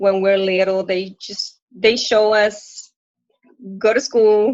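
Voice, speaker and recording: A woman with a Puerto Rican accent speaks at a very slow pace. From Puerto Rico. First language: Spanish. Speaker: coaching client, working mother. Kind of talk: live coaching session. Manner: halting.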